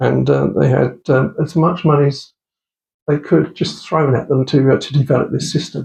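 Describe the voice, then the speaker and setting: A man's fairly high pitch at a moderate pace, with fairly even intonation and vocal fry. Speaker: radio amateur giving a club talk. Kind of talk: lecture. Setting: club meeting with audience. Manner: halting, many fillers.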